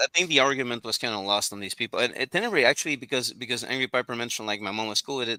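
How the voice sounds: The speaker uses a natural reading voice. Pitch variation is ordinary.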